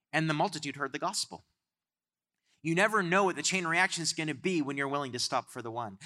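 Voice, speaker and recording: A man with an animated, bright and sharp tone, fairly high pitch and vocal fry, in a very clean recording with a silent background. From Canada. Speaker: guest preacher. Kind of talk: sermon. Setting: church with congregation.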